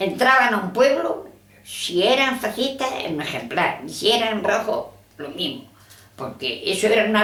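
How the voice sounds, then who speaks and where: A woman's fairly high voice with very wide pitch swings at a fairly slow pace, amid noticeable background noise and audible room echo. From Andalusia, Spain (Rus, Jaén). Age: 90s. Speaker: elderly woman recalling the civil war. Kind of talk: oral history interview.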